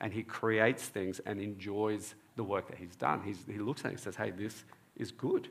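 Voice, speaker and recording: At a moderate pace, a man with an Australian accent speaks in a fairly low voice with fairly even intonation. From Australia (born in Egypt, moved at four). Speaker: preacher and dentist. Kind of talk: sermon.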